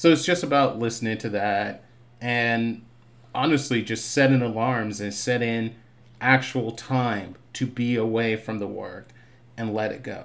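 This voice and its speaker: In a normal speaking voice, a man with an American accent talks at a fairly slow pace, medium in pitch with ordinary pitch variation. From Boston (Roxbury), with Barbados childhood. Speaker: TV writer. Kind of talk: casual interview chat.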